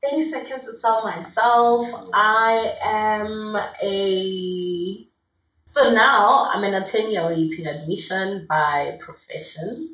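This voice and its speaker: Very slowly, a woman with a fairly high pitch speaks with lively intonation amid audible room echo. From South Africa, Limpopo (Burgersfort area). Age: 20s. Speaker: lawyer. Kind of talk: casual podcast interview.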